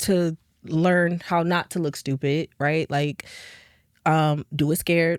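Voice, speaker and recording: A woman with an American accent speaks in an ordinary speaking voice, fairly low in pitch with fairly even intonation. The recording is very clean with a silent background and a dry, close sound with no echo. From New Jersey, Jersey City, with time in Texas. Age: 20s. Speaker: R&B singer. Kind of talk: podcast interview.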